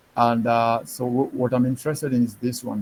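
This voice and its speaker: A man's somewhat breathy voice at medium pitch, fairly slow in pace, with fairly even intonation. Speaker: programming instructor. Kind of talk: live online tutorial. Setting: video call with screen sharing. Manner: halting, many fillers.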